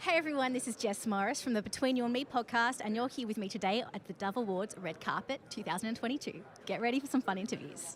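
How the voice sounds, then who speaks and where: In an Australian accent, a woman speaks very fast at a high pitch, her tone upbeat and enthusiastic. Her intonation is lively, and there is noticeable background noise. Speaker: podcast host and journalist. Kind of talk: red carpet interviews. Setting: outdoor red carpet event. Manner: upbeat, enthusiastic.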